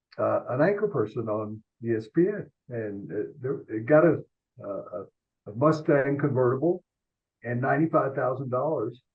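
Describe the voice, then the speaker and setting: A man with a Tennessee accent speaks at a moderate pace in a fairly high pitch. His pitch varies an ordinary amount, and he leaves long, frequent pauses. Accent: Southern US (Tennessee). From US South, Memphis. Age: 70s. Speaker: sports columnist. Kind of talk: interview storytelling. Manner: halting, many fillers and repeats.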